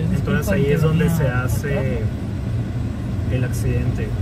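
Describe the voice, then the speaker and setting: A man's dry voice, with no echo at all, competes with loud background noise. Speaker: driver or passenger vlogger. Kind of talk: casual vlog chat. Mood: relaxed, joking. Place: car. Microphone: phone near.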